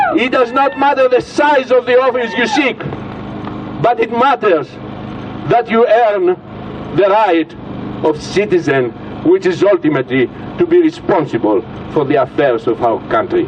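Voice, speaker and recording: A man with an extremely high pitch makes very wide pitch swings at very even loudness, leaving long, frequent pauses over noticeable background noise. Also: moderate pace. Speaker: political speaker. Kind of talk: rally speech. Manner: animated.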